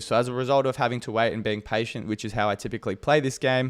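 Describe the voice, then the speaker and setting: Speaking here is a man with an Australian accent. The recording is very clean, its background silent. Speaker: fantasy sports content creator. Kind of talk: casual monologue.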